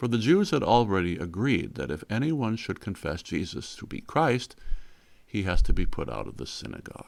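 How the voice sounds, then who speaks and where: In a very clean recording with a silent background, a man of medium pitch speaks at a fairly slow pace with vocal fry and very wide pitch swings. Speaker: bible teacher. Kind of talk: bible study teaching. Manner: conversational.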